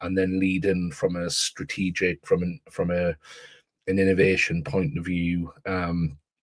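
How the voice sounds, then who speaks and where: Dry and close with no echo, a man's voice carries an English accent, fairly even intonation and a fairly slow pace. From northeast England, Newcastle. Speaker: education author and AI consultant. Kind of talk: podcast interview. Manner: halting, many repetitions.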